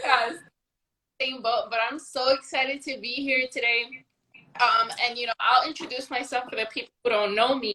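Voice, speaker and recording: A woman with a New York accent speaks in a raised, projected voice at a moderate pace, her high pitch carrying a bright, sharp tone over fairly even intonation. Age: 20s. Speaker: network marketer. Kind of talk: casual chat. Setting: livestream.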